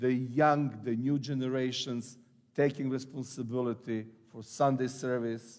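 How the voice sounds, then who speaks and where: Using fairly even intonation, a man with an Eastern European accent talks at a fairly slow pace. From Serbia. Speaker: pastor. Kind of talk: sermon. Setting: church. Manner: halting.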